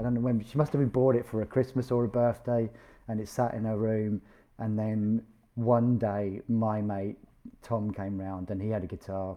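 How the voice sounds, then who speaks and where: A man with a British accent speaks at a moderate pace. His fairly low voice holds fairly even intonation. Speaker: podcast host and musician. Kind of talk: casual chat. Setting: video call.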